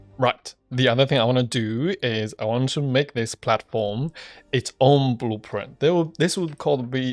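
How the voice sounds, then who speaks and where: At a moderate pace, an unremarkable speaking voice shows ordinary pitch variation in a very clean recording with a silent background, dry and close with no echo. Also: man, medium pitch for a man. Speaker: gaming youtuber. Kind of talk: gameplay commentary.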